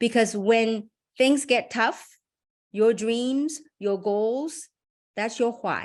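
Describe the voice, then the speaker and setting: A woman's fairly high, animated voice with ordinary pitch variation and long, frequent pauses. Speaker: business opportunity presenter. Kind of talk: motivational presentation on a webinar. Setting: online group call. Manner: fast.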